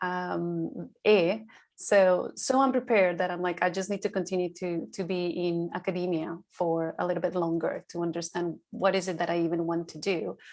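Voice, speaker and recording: A woman with a Spanish accent speaks at a fairly low pitch and a moderate pace with fairly even intonation in a very clean recording over a silent background. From Colombia, Bogota. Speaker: sales and insights manager, alum. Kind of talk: panel interview.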